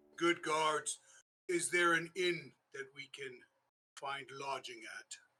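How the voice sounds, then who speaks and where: Using a put-on character voice, a man speaks in a high, raspy tone. He goes at a fairly slow pace with big swings in loudness. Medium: actual play. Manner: formal, courteous.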